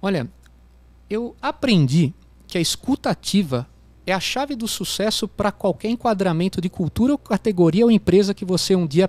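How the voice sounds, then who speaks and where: This man has a high pitch, lively intonation and a slight São Paulo accent, talking at a moderate pace. The sound is dry and close, with no echo. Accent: slight countryside São Paulo. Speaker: business executive, CEO. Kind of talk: interview answer. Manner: casual, hesitant.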